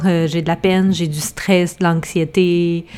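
A woman's fairly low voice in a Quebec accent, at a very slow pace. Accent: Québécois French. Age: 30s. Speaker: cookbook author and podcast co-host. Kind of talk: casual chat.

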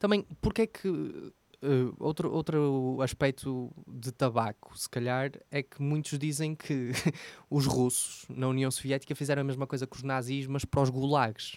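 A man with a European Portuguese accent, medium-pitched, with ordinary pitch variation, at a fairly slow pace, in a dry, close sound with no echo. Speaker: podcast co-host. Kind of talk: casual chat.

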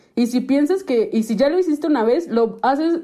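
Lively intonation in a dark, mellow tone. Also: woman. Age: 20s. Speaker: sociologist, podcast co-host. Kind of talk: casual chat.

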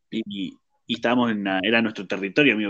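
Very fast male speech with a Rioplatense accent. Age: 20s. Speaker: podcast host. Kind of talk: casual chat.

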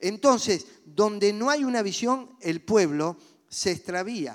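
Lively intonation comes through on a very clean recording with a silent background. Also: man. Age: old. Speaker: pastor. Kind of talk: sermon.

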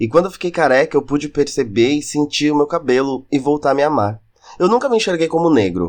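A man with a normal speaking voice talks at a fairly quick pace over a quiet background. His pitch is fairly high, and his intonation is lively. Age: 20s. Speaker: podcast host. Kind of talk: scripted monologue.

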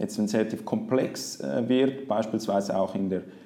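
Someone speaks with a Swiss accent at a moderate pace. The pitch variation is ordinary. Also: man. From Switzerland, Zurich. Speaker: investment product specialist. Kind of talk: interview.

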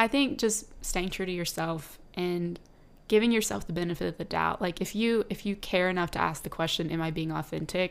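On a very clean recording with a silent background, a woman speaks at a fairly quick pace in an ordinary speaking voice, with fairly low pitch and ordinary pitch variation. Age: 20s. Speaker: podcast co-host. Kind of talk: casual chat.

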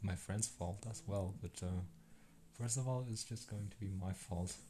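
A man speaks with a dark, mellow, somewhat breathy tone and ordinary pitch variation. He leaves long, frequent pauses. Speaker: solo podcaster. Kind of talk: unscripted monologue. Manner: hesitant, halting.

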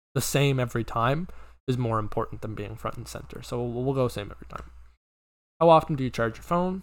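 On a very clean recording with a silent background, a man speaks at a fairly quick pace with big swings in loudness. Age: young. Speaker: podcast host. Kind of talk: casual solo chat. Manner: filler-heavy, hesitant.

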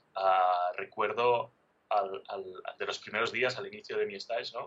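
This is a man speaking. He talks at a moderate pace. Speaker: pastry chef. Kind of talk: interview. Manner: animated.

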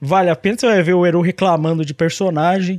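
The man's voice sits high in pitch and moves at a moderate pace. The sound is dry and close with no echo, against a quiet background. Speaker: anime podcast host. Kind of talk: casual chat. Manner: animated.

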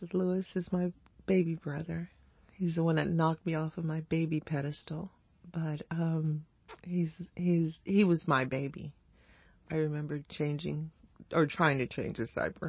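With an American accent, a woman speaks at a very deep, low pitch in a monotone, flat way, somewhat breathy. Her pace is moderate, broken by long, frequent pauses. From Honduras, then Boston. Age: 40s. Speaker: interviewee sharing life story. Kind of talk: oral history interview. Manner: halting, many fillers.

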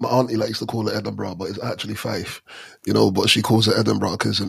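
Vocal fry runs through a man's medium-pitched voice, which shows ordinary pitch variation. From London and Stranraer, Scotland. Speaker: podcast co-host. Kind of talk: casual chat. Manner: animated.

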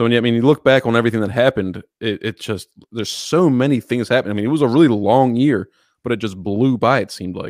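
A man's medium-pitched voice with an American accent, very fast delivery, ordinary pitch variation, and a dry, close sound with no echo. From Baltimore, Maryland. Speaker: podcast co-host, political commentator. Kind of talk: casual chat. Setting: remote call.

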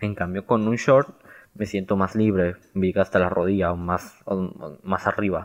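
A man's fairly low voice at a very slow pace with ordinary pitch variation. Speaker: podcast host. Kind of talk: casual solo podcast monologue. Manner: halting, stumbling over words.

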